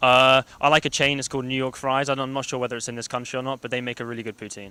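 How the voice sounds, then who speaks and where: With a London accent, a man speaks very fast at a medium pitch in a bright, sharp tone and flat monotone, the sound dry and close with no echo. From London, England. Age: young. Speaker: college soccer player. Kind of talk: casual interview.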